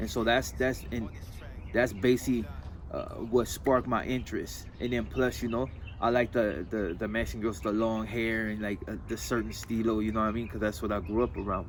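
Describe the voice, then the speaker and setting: With an American accent and vocal fry, a man talks at a moderate pace in a medium pitch with ordinary pitch variation. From San Fernando Valley, Los Angeles. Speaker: interviewee, gang member and clothing designer. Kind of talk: casual interview.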